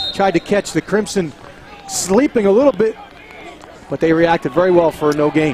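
This man speaks very fast and high-pitched, with noticeable background noise present. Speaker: color commentator. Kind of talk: live commentary. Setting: outdoors.

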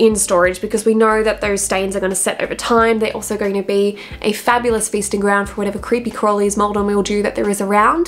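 A woman speaks at a fairly quick pace in a fairly high pitch. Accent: Australian. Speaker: wardrobe stylist and video creator; video creator. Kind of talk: tutorial. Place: home room.

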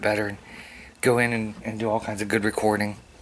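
Over noticeable background noise, a man rushes along at a very fast pace, his fairly low pitch monotone and flat. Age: 30s. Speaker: vlogger and musician. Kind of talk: casual vlog. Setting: home, alone, recording vlog. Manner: casual, chatty, sarcastic.

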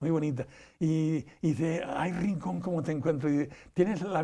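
At a moderate pace, a man speaks in a dark, mellow tone against a quiet background. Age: 80s+. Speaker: interview guest. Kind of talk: interview. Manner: halting, many repetitions. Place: studio. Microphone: lapel.

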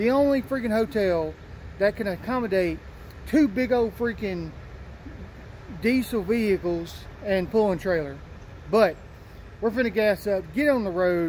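A man speaks at a moderate pace and a high pitch, with ordinary pitch variation. He leaves long, frequent pauses over light background noise. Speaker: vlogger. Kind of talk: casual vlog chat. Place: street. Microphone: phone near.

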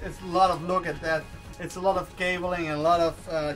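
A high-pitched man's voice over clear music in the background. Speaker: sailing vlogger. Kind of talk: casual vlog chat. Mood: cheerful, laughing. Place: boat.

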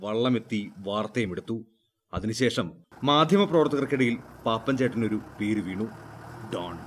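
This man has a normal speaking voice of medium pitch. His pitch varies in an ordinary way. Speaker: TV news reporter. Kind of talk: TV news feature narration.

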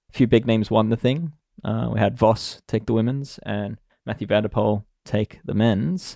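On a very clean recording with a silent background, a man with an Australian accent speaks at a moderate pace in a fairly low, dark, mellow voice with ordinary pitch variation. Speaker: podcast host, cycling tech journalist. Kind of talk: casual chat.

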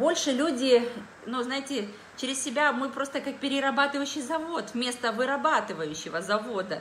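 An animated tone and lively intonation at a moderate pace, with audible room echo and light background noise. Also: woman, high pitch for a woman. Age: 40s. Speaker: dietitian and wellness product distributor. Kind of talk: live stream product presentation. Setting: live video stream on social media. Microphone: phone near.

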